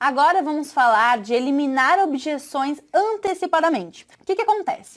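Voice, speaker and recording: In a southern Brazilian accent, a woman talks in a high pitch with lively intonation. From southern Brazil, Santa Catarina. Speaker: sales trainer. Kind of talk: online course lesson. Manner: hesitant, filler-heavy.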